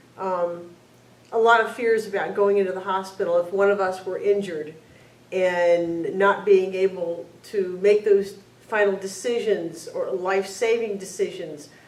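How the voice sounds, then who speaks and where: At a fairly slow pace, a woman talks at a medium pitch with fairly even intonation, with audible room echo and noticeable background noise. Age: 60s. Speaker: LGBT senior sharing personal story. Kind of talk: testimony. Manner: halting.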